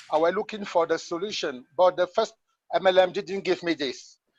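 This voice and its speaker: Over a dry, close sound with no echo, a man speaks fairly slowly at a high pitch with ordinary pitch variation. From Cameroon. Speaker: network marketer. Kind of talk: testimony. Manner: halting.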